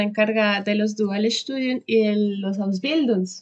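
A woman with a plain, everyday voice speaks fairly slowly at a fairly high pitch with fairly even intonation. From Colombia, Bogotá. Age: 20s. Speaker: vocational trainee. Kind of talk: interview.

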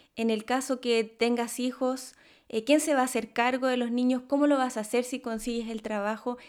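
A woman's high voice at a moderate pace, monotone and flat, on a very clean recording with a silent background. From Chile. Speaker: podcast host. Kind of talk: interview.

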